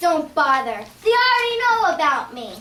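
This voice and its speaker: Putting on a character voice, a female-sounding speaker talks at a moderate pace in an extremely high pitch with very wide pitch swings. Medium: audio drama. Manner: earnest, cheerful.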